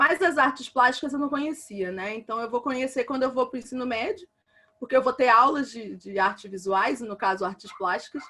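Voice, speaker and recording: The woman's voice is high and moves with lively intonation. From Rio de Janeiro, Brazil (Realengo, west zone). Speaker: visual artist. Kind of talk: online talk presentation. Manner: hesitant, many fillers.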